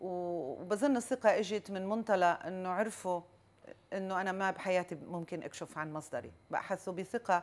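This woman's pitch variation is ordinary. She talks at a fairly slow pace. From Lebanon. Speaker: journalist, news agency bureau chief. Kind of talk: interview. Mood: calm, reflective. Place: home room.

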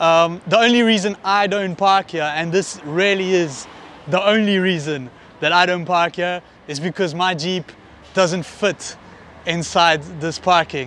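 A man speaks at a fairly slow pace in a high pitch with ordinary pitch variation. The sound is dry with no echo, over light background noise. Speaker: travel vlogger, tour guide. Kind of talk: casual vlog chat. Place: street. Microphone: lapel.

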